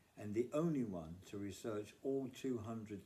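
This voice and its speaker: A man with a British accent has a dark, mellow tone and ordinary pitch variation. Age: 70s. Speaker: cancer survivor and charity fundraiser. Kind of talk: charity appeal, scripted monologue. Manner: formal.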